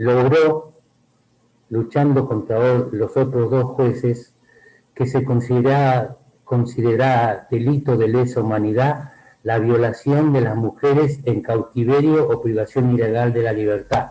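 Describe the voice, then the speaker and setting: A man's somewhat breathy, dark and mellow voice at a medium pitch, fairly slow in pace, with fairly even intonation and very even loudness. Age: 70s. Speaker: lawyer, event speaker. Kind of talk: commemorative speech.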